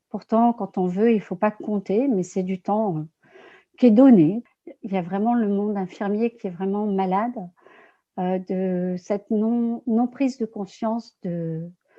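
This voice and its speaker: A woman speaks at a fairly slow pace with a medium pitch, ordinary pitch variation, and long, frequent pauses. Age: 60s. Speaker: former nurse, energy healer. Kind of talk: interview. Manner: hesitant, many fillers.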